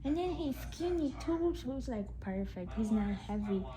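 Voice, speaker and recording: Audible room echo surrounds a woman talking at a fairly slow pace. Her fairly high pitch makes very wide swings. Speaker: vlogger. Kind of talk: casual vlog. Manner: soft-spoken.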